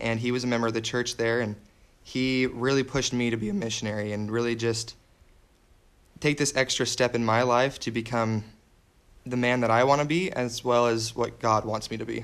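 Very clean recording with a silent background, featuring a man with an American accent in a normal speaking voice at medium pitch. He talks at a fairly quick pace with fairly even intonation. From Washington state, US. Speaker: missionary. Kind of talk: casual interview.

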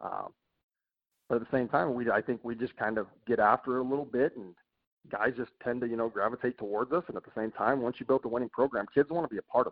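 A man with an American accent talks at a very fast pace in a medium pitch, his intonation fairly even but his loudness swinging widely. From Utah, US. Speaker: college baseball head coach. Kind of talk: casual interview.

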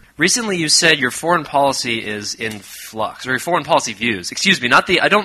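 With noticeable background noise present, a man keeps up a fairly quick pace. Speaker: podcast co-host. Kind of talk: Q&A with live audience. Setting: live audience at a podcast event. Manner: sarcastic.

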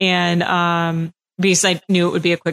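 A woman's fairly low voice in monotone, flat intonation, with a dry, close sound and no echo. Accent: American. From Massachusetts. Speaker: podcast host. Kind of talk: interview.

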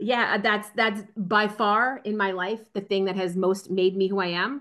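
A woman with an American accent has a normal speaking voice at medium pitch. Her intonation is fairly even, and the background is quiet. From New Jersey. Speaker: strategy consultant. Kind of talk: casual interview.

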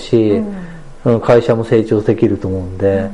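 A man speaks at a moderate pace, his pitch varying in an ordinary way, while music plays behind him. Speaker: clothing business owner. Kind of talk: casual interview.

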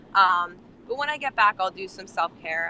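A woman with a New Jersey accent talks at a moderate pace. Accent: New Jersey American. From New Jersey, near Atlantic City. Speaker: nonprofit founder and homelessness activist. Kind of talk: casual interview. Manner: hesitant, many fillers.

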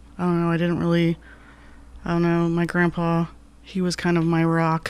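At a moderate pace, the speaker talks with an American accent. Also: woman. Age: 40s. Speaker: army veteran and artist. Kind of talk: casual interview chat.

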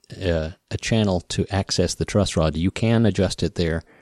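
In an American accent, the speaker has a relaxed, dark, mellow tone and fairly even intonation, recorded with a dry, close sound with no echo. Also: man. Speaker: podcast host and guitar builder and repairman. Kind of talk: solo podcast Q&A, casual chat. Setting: home or studio, morning recording. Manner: relaxed, conversational.

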